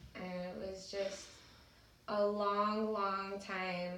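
Over noticeable background noise and audible room echo, a woman speaks very slowly at a medium pitch in a flat monotone. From California (Salinas). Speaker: abuse survivor sharing story. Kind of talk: personal testimony.

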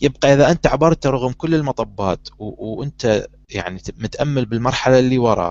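A man with an ordinary speaking voice talks at medium pitch with ordinary pitch variation. His pace is moderate, with hardly any pauses. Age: 30s. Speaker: talk show host. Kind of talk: casual chat.

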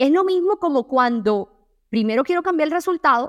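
Recorded dry and close with no echo against a quiet background, a woman speaks with lively intonation. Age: 20s. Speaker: self-esteem coach and podcast host. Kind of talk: motivational monologue.

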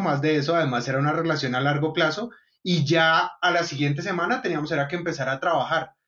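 This man has an unremarkable speaking voice pitched fairly high. He talks at a moderate pace with fairly even intonation. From Colombia, Bogotá. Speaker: software company co-founder. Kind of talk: casual interview.

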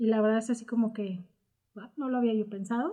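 Her tone is dark and mellow, and her pitch is fairly high. The woman's intonation remains fairly even. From Mexico, Morelia, Michoacán. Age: 40s. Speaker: university admissions staff and radio project founder. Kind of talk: interview.

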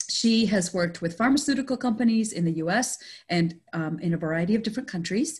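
Fairly quick and lively in intonation, a woman talks in a fairly high pitch with a somewhat breathy quality. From Canada, Indian family. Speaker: podcast host and consultant. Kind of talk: interview conversation.

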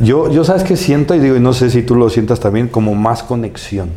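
A man at medium pitch keeps a very even loudness amid audible room echo and noticeable background noise. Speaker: podcast host. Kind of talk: casual chat.

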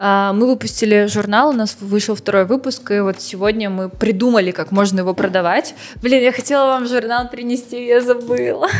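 Over noticeable background noise, a woman talks at a moderate pace with fairly high pitch and ordinary pitch variation. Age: 20s. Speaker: cultural center director. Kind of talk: casual chat.

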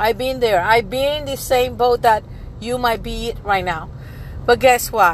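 The speech moves at a moderate pace with ordinary pitch variation. Noticeable background noise runs underneath. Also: woman. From Puerto Rico. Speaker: life coach. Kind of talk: casual monologue. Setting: in a car.

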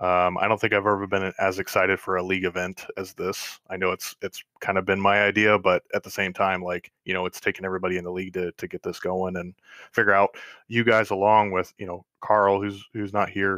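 With a Midwestern American accent, a man talks in a very deep, low voice and a monotone, flat intonation. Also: fairly quick pace. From Northwest Ohio. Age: 20s. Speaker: sim racing league admin. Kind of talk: podcast interview.

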